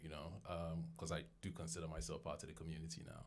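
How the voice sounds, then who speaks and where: At a fairly quick pace, a man speaks in an English accent. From London, England. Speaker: podcaster. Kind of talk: podcast interview.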